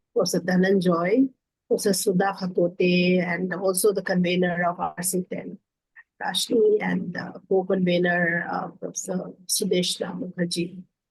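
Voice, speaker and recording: In a medium pitch, a woman delivers her words with monotone, flat intonation. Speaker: academic giving valedictory address. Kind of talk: formal valedictory speech. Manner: slow; hesitant with fillers.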